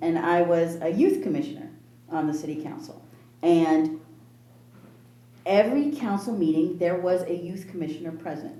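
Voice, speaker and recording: A woman speaks at a fairly low pitch and a moderate pace, her tone dark and mellow. She leaves long, frequent pauses, and the room echo is audible. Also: lively intonation. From Southern California (Torrance). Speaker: senior commissioner. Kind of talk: public meeting discussion.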